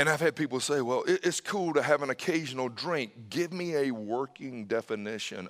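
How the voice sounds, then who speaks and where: With a normal speaking voice, a man talks at a moderate pace with hardly any pauses. His pitch is fairly high, his intonation lively, and the sound dry and close with no echo. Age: 50s. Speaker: pastor. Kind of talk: sermon. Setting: church.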